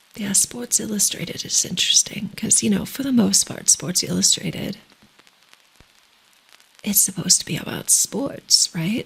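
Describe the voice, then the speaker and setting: A woman whispers at a moderate pace, with long, frequent pauses. Noticeable background noise is present. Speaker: ASMR streamer. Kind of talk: ASMR soft talking livestream. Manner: soft-spoken.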